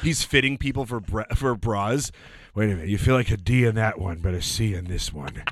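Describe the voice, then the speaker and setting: This man has an unremarkable speaking voice with a fairly low pitch. His intonation is lively. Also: fairly quick pace. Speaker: comedian and impressionist. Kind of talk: casual chat.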